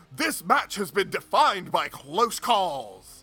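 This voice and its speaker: With music playing in the background, a man puts on a character voice, high-pitched and swinging very widely in pitch, at a fairly slow pace. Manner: formal, broadcast-style.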